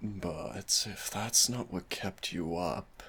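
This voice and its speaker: The voice has vocal fry and a gentle tone. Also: man. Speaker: audio roleplay performer. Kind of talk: boyfriend comfort roleplay. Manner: soft-spoken, gentle.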